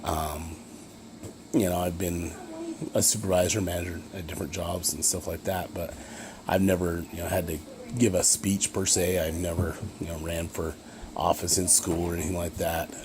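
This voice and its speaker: With a Utah accent, the speaker talks in a monotone, flat way with long, frequent pauses over noticeable background noise. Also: man, very deep, low pitch for a man. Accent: Utah American English. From Utah, Ogden area. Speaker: college student. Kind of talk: self-introduction video. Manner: fast; halting with many fillers.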